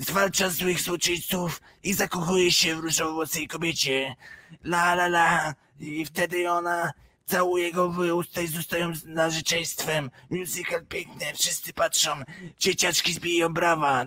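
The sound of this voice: Monotone and flat in intonation, a man with a high pitch speaks at a moderate pace.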